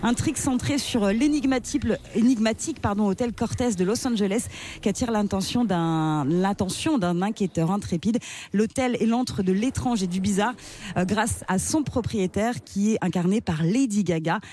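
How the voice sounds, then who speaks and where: Dark, mellow, somewhat breathy speech from a woman at medium pitch. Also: lively intonation, fairly slow pace, very even loudness. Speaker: radio co-host. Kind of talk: casual radio chat. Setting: studio.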